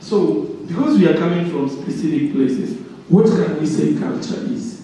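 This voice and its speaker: Noticeable background noise and audible room echo surround this recording. A man with a high voice speaks with very wide pitch swings. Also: moderate pace. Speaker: workshop speaker. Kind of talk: interactive workshop talk. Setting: room with microphone and audience. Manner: loud.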